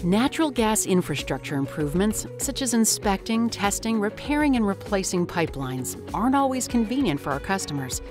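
Music plays behind a woman speaking at a medium pitch. She talks at a fairly quick pace with very wide pitch swings. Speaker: voice actor. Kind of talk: corporate narration.

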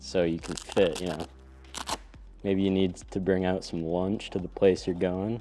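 Faint music plays in the background as a man with a very deep, low pitch speaks in a dry sound with no echo. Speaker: product reviewer. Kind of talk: casual unboxing commentary. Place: studio.

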